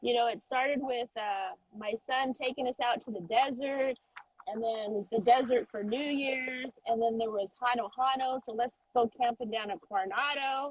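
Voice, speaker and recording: The woman's high-pitched voice moves at a moderate pace with ordinary pitch variation. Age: 50s. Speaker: ER nurse and SUP surfer. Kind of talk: interview answer.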